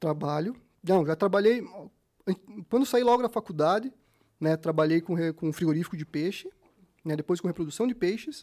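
A man's high voice with a dark, mellow tone, ordinary pitch variation, moderate pace and long, frequent pauses, dry and close with no echo in a very clean recording with a silent background. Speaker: fisheries engineer and fishing lure business owner. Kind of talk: casual interview chat. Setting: studio.

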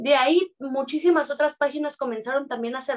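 A woman speaks with a Mexican accent. Her pace is moderate, and her pitch variation is ordinary. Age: 30s. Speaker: dance teacher. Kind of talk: interview.

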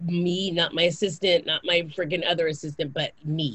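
Here a woman talks at a moderate pace. Her voice is somewhat breathy. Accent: American. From Japan and Kansas, US. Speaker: actress, singer and author. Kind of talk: casual interview chat. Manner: animated.

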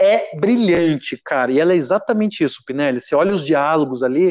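Recorded dry and close with no echo against a quiet background, a man talks in an unremarkable speaking voice, fairly high in pitch with ordinary pitch variation. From Brazil, Caçapava (São Paulo state). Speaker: humor writer and performer. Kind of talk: casual chat.

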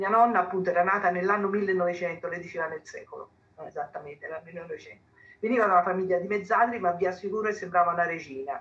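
Talking at a very fast pace, a woman with a medium pitch keeps her intonation fairly even while her loudness swings widely. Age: 70s. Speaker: history professor. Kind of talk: panel talk.

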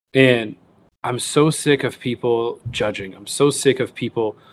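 This man has a normal speaking voice of medium pitch, with an American accent and a fairly slow pace. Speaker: hunter and wild game cook. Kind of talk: podcast interview.

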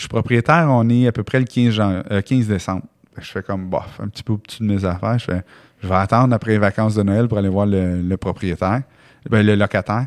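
Speaking with a Quebec accent, a man talks at a fairly quick pace with a fairly low pitch, in a dry, close sound with no echo. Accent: Québécois French. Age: 40s. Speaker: real estate investor and entrepreneur. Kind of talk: podcast interview. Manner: casual, animated.

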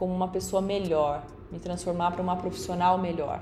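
Woman's voice with audible room echo. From São Paulo state, Brazil (Bauru). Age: 30s. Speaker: TV reporter and presenter. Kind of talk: recorded testimony.

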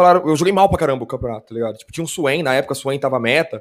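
A man with lively intonation, talking at a very fast pace. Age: 30s. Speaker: esports commentator. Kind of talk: casual chat.

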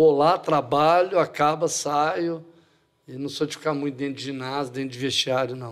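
With ordinary pitch variation, a man speaks in a plain, everyday voice at a fairly high pitch. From Brazil, Franca (São Paulo state). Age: 60s. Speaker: basketball coach. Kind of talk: casual interview.

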